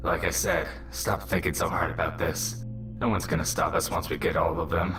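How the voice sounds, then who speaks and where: A man uses a put-on character voice at a fairly quick pace. Loud music plays in the background. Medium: read story. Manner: smug, dismissive.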